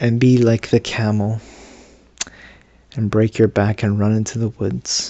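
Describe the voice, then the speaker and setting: At a fairly slow pace, a man talks in a fairly low pitch. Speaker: vlogger. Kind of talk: casual monologue to camera. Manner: halting, many fillers and restarts; not at full voice, subdued.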